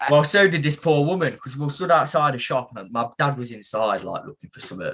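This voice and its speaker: Someone with an East Midlands accent talks at a fairly quick pace with lively intonation and big swings in loudness. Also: man, fairly high pitch for a man. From England, Mansfield (East Midlands). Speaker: professional boxer. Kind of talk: casual chat.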